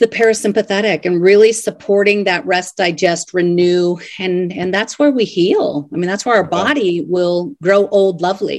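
A woman speaks in a plain, everyday voice at a medium pitch and moderate pace. Her pitch variation is ordinary, and the background is quiet. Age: 50s. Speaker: life coach and author. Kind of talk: interview.

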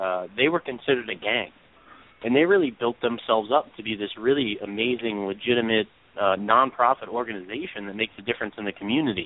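Talking at a very fast pace, a man with a New York accent has a medium pitch and ordinary pitch variation. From New York (Brooklyn). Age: 30s. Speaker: real life superhero. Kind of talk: casual chat.

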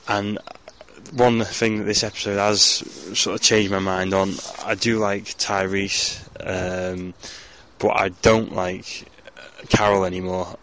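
A man's very deep, low voice, monotone and flat, at a fairly slow pace over noticeable background noise. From northern England (Ormskirk, Lancashire). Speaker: listener leaving voicemail. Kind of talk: voicemail message.

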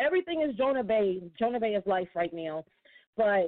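The voice is a normal speaking voice with lively intonation. It moves at a moderate pace. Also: woman. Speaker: caller. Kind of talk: phone call question. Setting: phone call.

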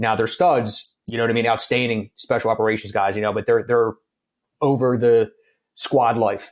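This man speaks at a fairly quick pace with a Philadelphia accent and a medium pitch. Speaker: firefighter. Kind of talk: casual chat.

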